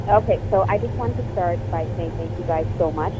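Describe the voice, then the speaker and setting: Someone speaks with a Canadian accent while music plays in the background. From Canada, Toronto. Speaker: activist. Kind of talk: radio panel discussion.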